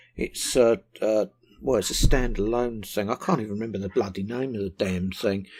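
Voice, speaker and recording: In a southern English accent, a man speaks fairly quickly at a fairly low pitch. His pitch varies in an ordinary way on a very clean recording with a silent background. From southern England, West Sussex. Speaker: vaping product reviewer. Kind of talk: casual vlog talk to camera. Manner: hesitant, many ums and ahs.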